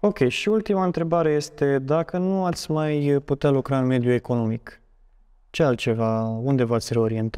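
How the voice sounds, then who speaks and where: Over a quiet background, a man with a fairly high pitch and a dark, mellow tone speaks at a moderate pace, his intonation lively and his loudness very even. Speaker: student podcast host. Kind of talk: interview. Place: studio. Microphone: lapel.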